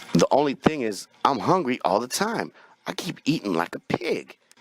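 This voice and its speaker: Putting on a whiny character voice, a man speaks at a moderate pace in a fairly high pitch, his tone whiny and his pitch swinging very widely. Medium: read story. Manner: fearful, whiny; sly, cackling.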